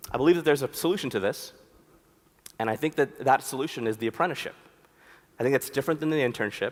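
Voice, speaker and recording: A man with an American accent talks at a very fast pace, broken by long, frequent pauses. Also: fairly high pitch for a man, ordinary pitch variation. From US, Philadelphia. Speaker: conference speaker, designer. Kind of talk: conference talk. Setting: stage with audience. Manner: casual, conversational.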